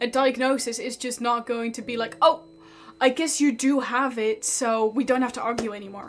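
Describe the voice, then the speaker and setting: Over music in the background, a woman speaks in a high voice at a moderate pace with fairly even intonation. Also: big swings in loudness. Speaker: streamer reacting to online stories. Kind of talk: casual chat. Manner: loud.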